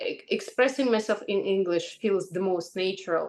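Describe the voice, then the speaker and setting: A woman with a Russian accent. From Ukraine. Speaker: English teacher. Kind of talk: casual chat. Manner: halting.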